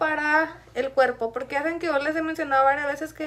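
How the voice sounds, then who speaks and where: Her tone is bright and sharp. The woman speaks at a high pitch with fairly even intonation. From Chihuahua, Mexico. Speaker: beauty YouTuber. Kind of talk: casual chat.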